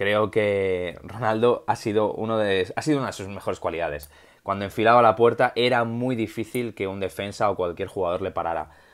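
Against a quiet background, a man with a fairly low pitch speaks at a moderate pace with ordinary pitch variation. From Spain. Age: 30s. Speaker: football YouTuber; football commentator vlogger. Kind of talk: solo video commentary. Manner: improvised. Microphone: earbuds.

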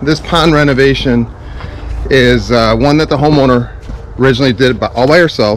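With light background noise behind him, a man speaks at a moderate pace and with ordinary pitch variation. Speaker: pond contractor. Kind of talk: casual vlog chat. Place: garden. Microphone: phone near.

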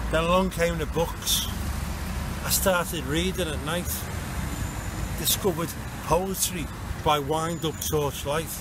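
A man speaks at a fairly slow pace with long, frequent pauses. The sound is dry with no echo, with noticeable background noise. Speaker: spoken word poet and groundworker. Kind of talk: spoken word poetry performance, rhymed verse. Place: street. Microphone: phone near.

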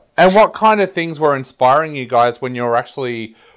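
A man with an Australian accent talks at a fairly quick pace and a medium pitch. The background is quiet. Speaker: music interviewer. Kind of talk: interview. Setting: video or phone call across countries.

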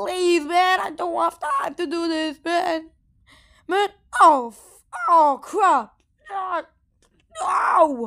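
In a put-on character voice, someone speaks at an extremely high pitch and a very slow pace, with long, frequent pauses. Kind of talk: amateur fan dub voice acting. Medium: fan dub. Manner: frantic, shouty, jokey.

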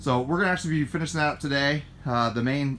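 With music in the background, a man talks at a very fast pace with lively intonation. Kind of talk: casual vlog chat. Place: garden. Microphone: phone near.

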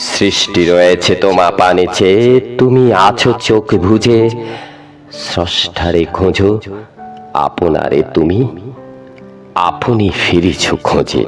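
Over music in the background, a man speaks with a very deep, low pitch, ordinary pitch variation and very even loudness. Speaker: poetry reciter. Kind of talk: poetry reading.

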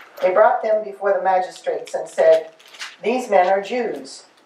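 Speech at a moderate pace carries audible room echo. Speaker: class participant. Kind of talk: group discussion and scripture reading. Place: meeting room.

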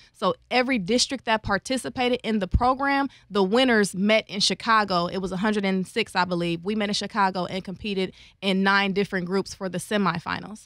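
A woman speaks at a fairly quick pace with ordinary pitch variation. The sound is dry with no echo, over a quiet background. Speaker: interview guest, public speaker. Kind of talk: interview answer. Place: studio. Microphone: studio mic.

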